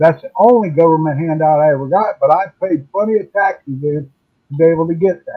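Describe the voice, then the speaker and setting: A man speaking at a fairly quick pace. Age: 60s. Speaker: retiree. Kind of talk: casual chat.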